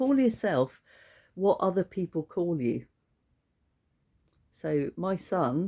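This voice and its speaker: A woman's dark, mellow tone comes through with a dry, close sound with no echo in a very clean recording with a silent background. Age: 60s. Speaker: birth keeper trainer, former midwife. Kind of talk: casual promotional talk to camera.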